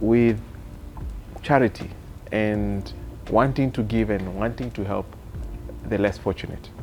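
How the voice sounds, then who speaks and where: A man talks at a moderate speed. Behind him, music can be heard. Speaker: podcast co-host, business executive. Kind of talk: casual podcast discussion.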